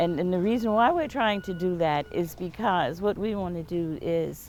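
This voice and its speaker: Here is a woman with a plain, everyday voice, fairly low in pitch. She speaks at a moderate pace with ordinary pitch variation. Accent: American. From US South, James Island, South Carolina. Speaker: interviewee, local community member. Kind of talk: oral history interview.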